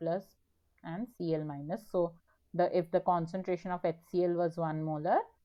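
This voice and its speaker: At a moderate pace, a normal speaking voice delivers its words with fairly even intonation. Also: woman. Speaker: teaching assistant. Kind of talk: online tutorial session.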